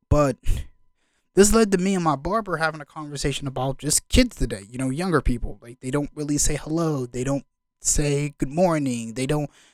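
Speaking at a fairly quick pace with ordinary pitch variation, the speaker has an ordinary speaking voice, captured dry and close with no echo. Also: man, fairly high pitch for a man. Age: 20s. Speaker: podcast host. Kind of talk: casual commentary monologue.

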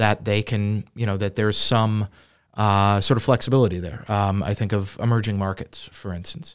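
On a very clean recording with a silent background, a man with an unremarkable speaking voice talks at a moderate pace. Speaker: podcast host and financial advisor. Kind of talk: casual business discussion. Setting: studio, seated together.

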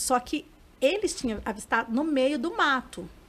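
A woman's high pitch carries lively intonation. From Varginha, Minas Gerais, Brazil. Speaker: UFO sighting witness. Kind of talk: interview.

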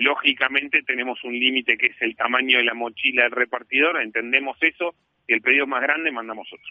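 Speaking fairly quickly, a man keeps a medium pitch and fairly even intonation. His loudness swings widely. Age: 40s. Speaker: company executive. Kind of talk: interview. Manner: halting, many fillers.

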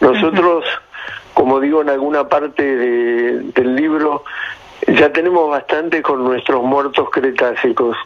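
Over noticeable background noise, a man speaks at a fairly slow pace. His fairly high voice keeps a fairly even intonation. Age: 60s. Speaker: paleontologist. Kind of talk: radio interview.

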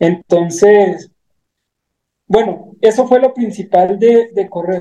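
Here a man speaks in a high pitch with a dark, mellow tone. He keeps a fairly slow pace and fairly even intonation. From Mexico, Chihuahua sierra (Guachochi). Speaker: ultra trail runner. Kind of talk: interview.

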